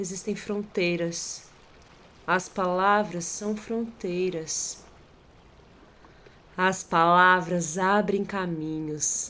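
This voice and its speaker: A woman's medium-pitched voice at a very slow pace, with fairly even intonation, long and frequent pauses, and audible room echo. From Brazil, São Paulo. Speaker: documentary participant. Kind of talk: poetic narration.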